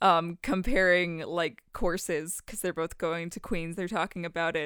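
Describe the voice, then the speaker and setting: Speaking at a moderate pace, a woman with a Canadian accent has an ordinary speaking voice at medium pitch, captured on a very clean recording with a silent background. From Canada. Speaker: podcast co-host. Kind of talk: casual chat.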